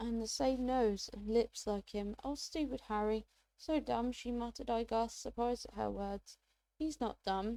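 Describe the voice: Over a quiet background, the speech is plain reading aloud.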